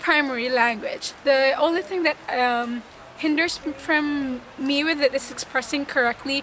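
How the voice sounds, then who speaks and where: Woman with a Visayan Filipino accent, high pitch, fairly even intonation, big swings in loudness and a moderate pace, with noticeable background noise. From Philippines, Visayas. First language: Bisaya. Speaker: nurse. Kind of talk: interview testimony.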